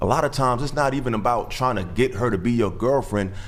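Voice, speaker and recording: A man speaks fairly quickly, with audible room echo and noticeable background noise around him. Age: 30s. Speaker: podcast guest. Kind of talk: casual debate. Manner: halting.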